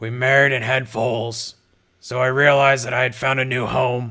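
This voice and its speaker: A man puts on a raspy character voice at a medium pitch. He speaks at a moderate pace in a monotone, flat intonation. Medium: read story. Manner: gruff, blunt.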